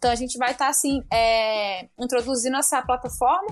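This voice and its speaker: A woman's high-pitched voice at a fairly quick pace, ordinary pitch variation, and music in the background. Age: 20s. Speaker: municipal election candidate. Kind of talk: interview.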